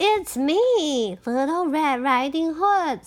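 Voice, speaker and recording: A woman speaks in a put-on character voice at a high pitch. Her pace is very slow. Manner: feigning innocence.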